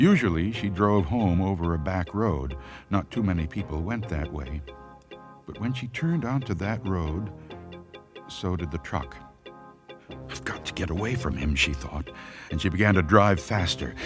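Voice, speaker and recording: Over background music, a man with a very deep, low pitch talks at a moderate pace with lively intonation and long, frequent pauses. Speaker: voice actor. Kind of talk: audiobook horror story narration.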